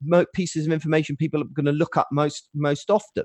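A man with an English accent, dry and close with no echo. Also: quiet background. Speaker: web designer. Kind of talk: podcast interview. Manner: loud.

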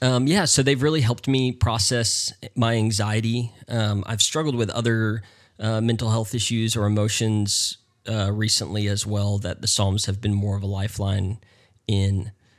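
This man has a plain, everyday voice, fairly low in pitch, with fairly even intonation. The recording is very clean, with a silent background. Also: moderate pace. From US South, North Carolina. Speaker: pastor. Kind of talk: casual interview.

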